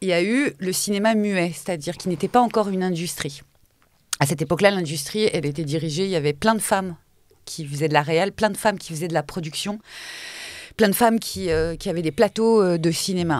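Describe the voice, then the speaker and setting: A woman speaks at a fairly quick pace in a fairly low voice with ordinary pitch variation, recorded very cleanly against a silent background. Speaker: podcast host. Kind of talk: casual chat. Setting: studio.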